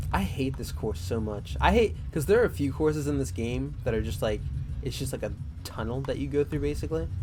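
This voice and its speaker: A man's very deep, low voice with very wide pitch swings, a fairly quick pace and audible room echo. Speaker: gaming youtuber and writer. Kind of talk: casual gameplay commentary. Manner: unscripted, filler-heavy. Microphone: USB condenser mic without pop filter, mouth sounds audible.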